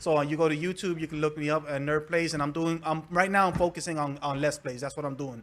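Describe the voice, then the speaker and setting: Very fast speech from a man with a Spanish accent, fairly high in pitch, with fairly even intonation and hardly any pauses. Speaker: gaming video creator. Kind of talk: casual chat. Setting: live stream podcast.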